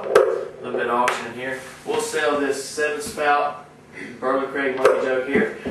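Loud background noise and audible room echo surround a man speaking at a moderate pace. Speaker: auctioneer and bid-calling instructor. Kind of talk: sales pitch for a bid-calling course. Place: home room.

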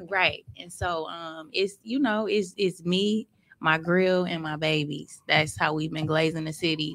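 A woman speaks in a normal speaking voice, fairly low in pitch, with ordinary pitch variation. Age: 30s. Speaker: vegan food entrepreneur. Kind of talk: casual interview.

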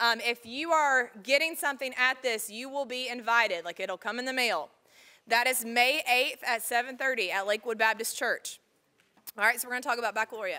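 Over a quiet background, a woman speaks at a high pitch and a fairly quick pace, with ordinary pitch variation. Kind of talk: announcement to students. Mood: casual, lightly teasing. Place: hall.

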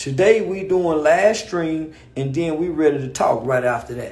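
An animated tone at a fairly slow pace. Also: man. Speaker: live streamer. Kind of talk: angry rant on Instagram live. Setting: live stream, video call. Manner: animated, sarcastic, storytelling. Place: home room. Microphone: phone near.

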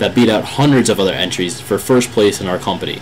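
Against noticeable background noise, a man with a medium pitch speaks at a very fast pace. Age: 20s. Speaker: college student and aspiring gear tester. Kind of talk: video application pitch. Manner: enthusiastic, animated.

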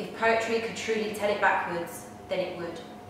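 A woman's voice carries strong room echo. Noticeable background noise is present. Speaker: poetry performer. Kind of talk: poem performed, dramatic reading aloud. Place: home room. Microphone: camera far.

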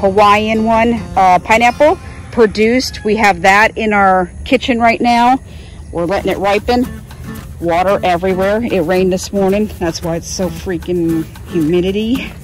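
Faint music plays behind a woman with a dry sound and no echo. She talks at a moderate pace with ordinary pitch variation. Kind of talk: casual vlog chat. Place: garden. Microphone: phone near.

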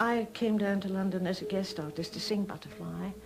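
With music in the background, a woman speaks at a medium pitch and a moderate pace. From Lancashire, England. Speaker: retired opera singer. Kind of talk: TV documentary interview answer.

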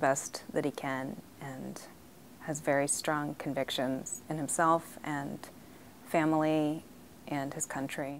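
With light background noise, a woman with an American accent speaks at a fairly slow pace in a very deep, low voice with fairly even intonation. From US, raised partly abroad (Ghana, Liberia). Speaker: diplomat's daughter recounting family history. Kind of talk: interview testimony. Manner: hesitant, frequent fillers. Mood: reflective, at times emotional. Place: meeting room. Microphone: lapel.

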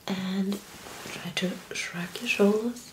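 A woman whispering at a very slow pace. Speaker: ASMR creator doing a medical roleplay as a doctor. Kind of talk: medical exam roleplay, ASMR. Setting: studio, ASMR-style close recording. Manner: soft-spoken, whispering. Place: home room.

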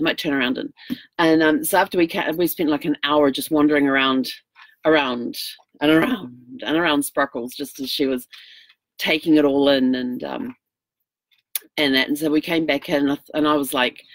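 A woman's very deep, low voice at a moderate pace, with ordinary pitch variation, long, frequent pauses, a dry sound with no echo and a quiet background. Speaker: RV traveler vlogger. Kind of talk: casual vlog chat. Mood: cheerful, laughing storytelling. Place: home room. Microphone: webcam.

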